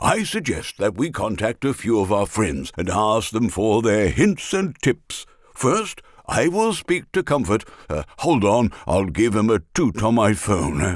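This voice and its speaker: Putting on a cartoonish character voice, a man talks at a fairly slow pace with a fairly low pitch. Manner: upbeat, encouraging, chatty.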